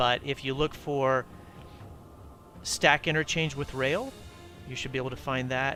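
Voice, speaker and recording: Over music in the background, a man at medium pitch speaks with fairly even intonation. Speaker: video game streamer. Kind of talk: live stream gameplay tutorial. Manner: fast; halting.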